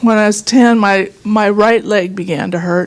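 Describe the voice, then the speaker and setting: Noticeable background noise accompanies a woman talking very slowly at medium pitch with ordinary pitch variation. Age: 60s. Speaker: client giving testimonial. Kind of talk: testimony.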